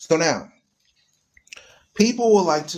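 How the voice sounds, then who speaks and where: A man speaks loudly. His tone is animated throughout. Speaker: online radio host. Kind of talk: live stream talk on religion. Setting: live stream. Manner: animated, emphatic.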